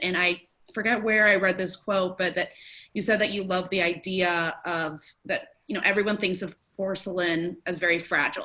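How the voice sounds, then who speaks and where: An American accent marks this woman's unremarkable speaking voice, which has medium pitch, ordinary pitch variation and a moderate pace. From US, family from New Mexico. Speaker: gallery associate director. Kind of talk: conversation.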